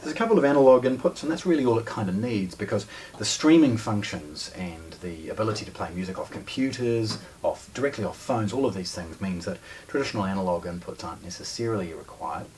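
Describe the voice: Faint background noise sits behind a slightly mellow tone. The speech is fast, with lively intonation. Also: man, fairly low pitch for a man.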